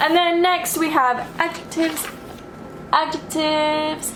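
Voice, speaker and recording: Over music in the background, a woman speaks in a raised, projected voice at a fairly slow pace, with audible room echo. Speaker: vlogger. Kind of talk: casual vlog talk. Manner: casual, chatty.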